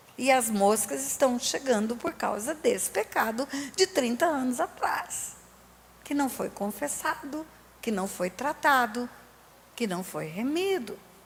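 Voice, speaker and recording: Over noticeable background noise, a woman with a high voice speaks fairly slowly, her pitch swinging very widely. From Brazil, Resende (Rio de Janeiro state). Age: 60s. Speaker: pastor. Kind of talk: sermon. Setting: church.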